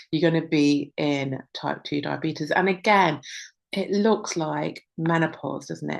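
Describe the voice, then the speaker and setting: Using a normal speaking voice, a woman talks at a fairly low pitch with lively intonation. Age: 60s. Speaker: women's health coach. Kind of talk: webinar presentation.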